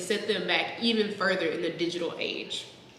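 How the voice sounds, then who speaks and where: A woman talks at a fairly quick pace, her pitch varying in an ordinary way, with noticeable background noise around her. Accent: American. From Texas. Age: 20s. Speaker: software engineer. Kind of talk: reading aloud an old term paper.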